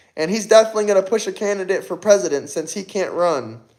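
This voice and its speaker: Very clean recording, silent background, and a man speaking at a high pitch. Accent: American. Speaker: political commentator livestreamer. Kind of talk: live stream chat answering viewer comments. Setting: live stream.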